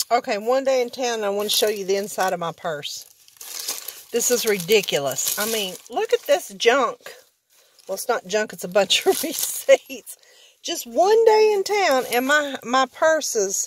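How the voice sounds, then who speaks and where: A woman's high voice at a fairly slow pace, with very wide pitch swings, dry sound with no echo and light background noise. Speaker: vlogger. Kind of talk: casual vlog chat. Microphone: phone near.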